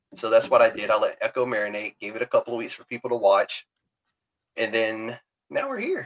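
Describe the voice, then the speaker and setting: The man speaks in a Southern US accent. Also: dry, close sound with no echo. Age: 40s. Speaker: podcast host. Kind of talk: casual chat. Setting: video call.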